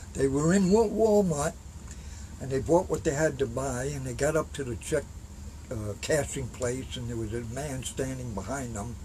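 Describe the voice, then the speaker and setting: A man speaks at a medium pitch with lively intonation. There is audible room echo. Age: 60s. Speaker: Vietnam war veteran. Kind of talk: interview. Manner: halting, many fillers.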